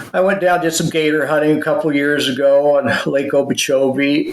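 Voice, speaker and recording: Against noticeable background noise, a man speaks at a moderate pace with a fairly high pitch and monotone, flat intonation. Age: 60s. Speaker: knife maker and business owner. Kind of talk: casual chat. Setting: podcast interview.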